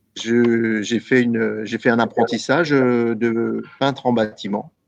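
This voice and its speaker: Speaking very slowly, a man with a medium-pitched voice keeps his intonation flat and monotone. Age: 60s. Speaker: venue director. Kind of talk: interview. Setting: live online broadcast. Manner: halting.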